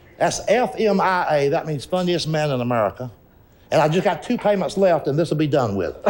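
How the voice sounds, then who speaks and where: Speaking at a fairly quick pace with lively intonation, a man talks in a Southern US accent. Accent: Southern US (Georgia). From rural Georgia, east of Atlanta. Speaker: stand-up comedian. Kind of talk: interview answer.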